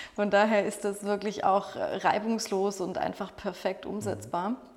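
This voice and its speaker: Background noise is noticeable as a woman speaks. She has a medium pitch and a fairly slow pace. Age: 40s. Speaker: catering sales manager. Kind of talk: podcast interview.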